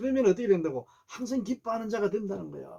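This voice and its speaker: Lively intonation rises and falls in this man's high voice. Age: 80s+. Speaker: pastor. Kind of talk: sermon. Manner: halting.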